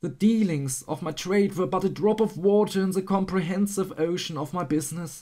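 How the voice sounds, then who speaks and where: The speech moves at a moderate pace. The recording is very clean, with a silent background. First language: not English. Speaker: audiobook narrator. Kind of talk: audiobook reading.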